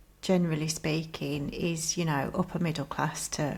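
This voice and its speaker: This woman's pitch is very deep and low, with vocal fry. Her intonation stays monotone and flat. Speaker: artist and podcast co-host. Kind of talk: casual chat.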